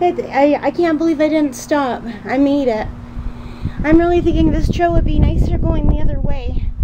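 Noticeable background noise sits behind the speech. A high-pitched woman talks at a moderate pace with fairly even intonation. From Ontario, Canada. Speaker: vlogger. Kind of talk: casual vlog narration. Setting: outdoors. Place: bicycle.

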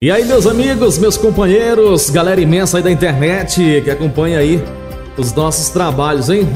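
While clear music sounds in the background, a man keeps to a moderate pace. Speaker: radio voice-over announcer / jingle producer. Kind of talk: casual talk to camera promoting his recording services. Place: studio. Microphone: studio mic.

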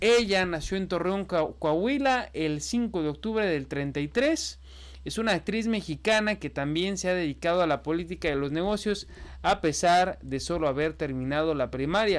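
A man with a high pitch speaks using lively intonation. His pace is fairly slow. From Mexico. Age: 20s. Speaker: political news youtuber. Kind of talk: news commentary. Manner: casual, conversational.

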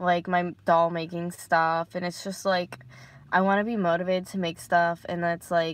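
A woman speaks over light background noise, the sound dry with no echo. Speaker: vlogger. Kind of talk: casual vlog chat. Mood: low, sad, discouraged. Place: car. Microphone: phone near.

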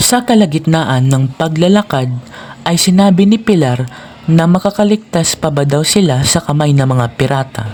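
Over noticeable background noise, the speaker talks at a moderate pace in a calm tone. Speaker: storyteller. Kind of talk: children's bedtime storytelling, scripted narration. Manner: calm, even, measured narration.

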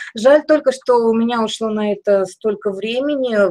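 A woman with a plain, everyday voice, a moderate pace and ordinary pitch variation. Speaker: felting craft teacher. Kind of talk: online master class. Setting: video call live stream. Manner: gentle, explanatory, diminutives.

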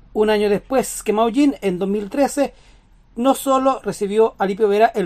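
This woman has a plain, everyday voice with a fairly high pitch. She talks at a fairly slow pace with ordinary pitch variation. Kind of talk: TV news narration.

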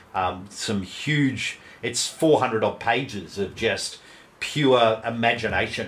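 With an Australian accent, a man of medium pitch speaks very slowly with ordinary pitch variation. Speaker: game master and podcast co-host. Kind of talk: casual chat.

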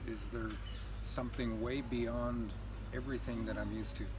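A man speaks over noticeable background noise. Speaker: spiritual teacher interviewee. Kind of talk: interview answer. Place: open country.

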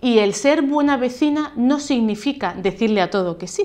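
Using an ordinary speaking voice, a woman talks at a fairly slow pace. Her intonation is lively. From La Línea de la Concepción, Andalusia, Spain; Andalusia, Spain. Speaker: mayor and politician; mayor, politician. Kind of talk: interview. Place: office.

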